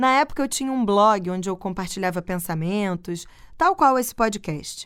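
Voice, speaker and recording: A woman with an unremarkable speaking voice talks at a moderate pace and a medium pitch, her intonation lively. The recording is very clean, with a silent background. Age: 30s. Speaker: podcast host. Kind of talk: personal reflective monologue.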